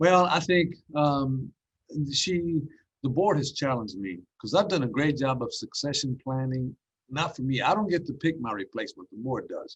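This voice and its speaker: Lively intonation marks this man's fairly high voice. It sounds somewhat breathy. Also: moderate pace. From Dallas, Texas (immigrant, raised there). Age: 60s. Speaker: school district superintendent. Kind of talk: podcast interview.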